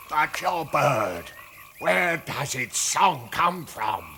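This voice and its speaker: A man puts on a raspy character voice with a fairly high pitch, speaking at a very slow pace over clear background noise. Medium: short film. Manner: halting, wondering.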